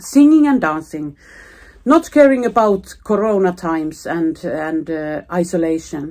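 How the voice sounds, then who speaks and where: In a very clean recording with a silent background, a woman with a Finnish accent speaks at a fairly slow pace. Her fairly low pitch and dark, mellow tone carry lively intonation. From Finland. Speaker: knitting vlogger and pattern designer. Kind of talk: casual vlog talk. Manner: halting, searching for words.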